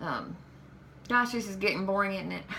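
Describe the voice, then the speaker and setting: A woman with a Southern US accent talks at a fairly quick pace in a medium pitch, with audible echo in the room. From Kentucky. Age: 40s. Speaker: vlogger. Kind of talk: vlog monologue. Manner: halting, hesitant.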